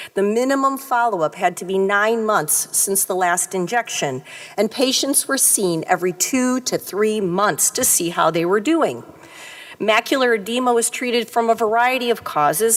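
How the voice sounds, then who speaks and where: Noticeable background noise runs under a woman's fairly high voice. She speaks at a moderate pace with very even loudness. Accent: American. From US Midwest, Detroit area. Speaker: retina surgeon. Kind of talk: conference talk.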